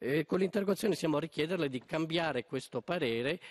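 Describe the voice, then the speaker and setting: A man speaks at a very fast pace with lively intonation. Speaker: member of parliament. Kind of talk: parliamentary oratory, formal question. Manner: hesitant, many filler sounds. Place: hall. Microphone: podium.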